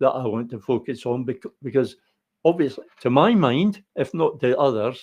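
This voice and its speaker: A man with a Scottish accent speaks at a moderate pace. His pitch is fairly high and his tone dark and mellow. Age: 70s. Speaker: political commentator. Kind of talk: solo political monologue. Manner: halting, frequent repetitions and fillers.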